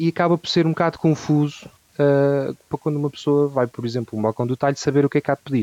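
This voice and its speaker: A man talks at a very fast pace in a fairly high pitch, his dark, mellow tone and fairly even intonation captured with a dry, close sound that has no echo. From Portugal, Ribatejo. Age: 30s. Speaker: barbecue educator. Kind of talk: casual interview chat. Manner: halting, many fillers.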